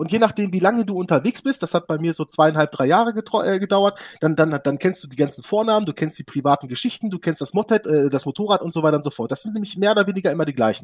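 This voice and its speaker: A man races along at a very fast pace with hardly any pauses, his high-pitched voice animated in a dry, close recording with no echo. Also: lively intonation. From Hannover region, northern Germany. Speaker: sim racing team founder. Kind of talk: casual interview.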